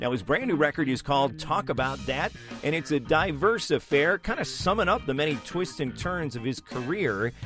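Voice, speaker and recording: Music plays in the background. Over it, a man speaks in a fairly high voice. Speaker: music interviewer. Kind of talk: podcast intro narration.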